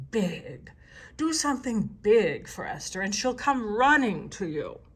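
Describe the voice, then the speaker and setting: A woman uses a put-on character voice at a fairly high pitch. She speaks at a fairly slow pace. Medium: read story. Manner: self-assured.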